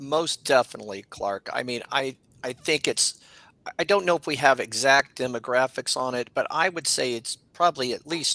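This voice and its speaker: Recorded dry with no echo, a man at medium pitch speaks in a bright, sharp tone. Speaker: nonprofit executive director. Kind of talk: panel discussion. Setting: video call. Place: home room.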